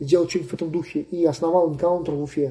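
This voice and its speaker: At a very fast pace, a man with a high pitch and a dark, mellow tone speaks with fairly even intonation. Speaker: travel blogger. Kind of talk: interview. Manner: casual, many filler words.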